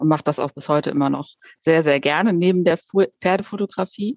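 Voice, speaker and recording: A woman with a very deep, low voice speaks at a fairly quick pace with ordinary pitch variation, in a dry, close sound with no echo. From Schleswig-Holstein, northern Germany. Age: 40s. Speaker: horse photographer, podcast host. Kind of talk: casual chat.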